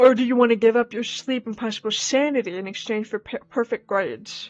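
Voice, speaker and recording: With music in the background, the speaker talks at a fairly quick pace. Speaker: gaming streamer. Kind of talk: let's play commentary. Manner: loud.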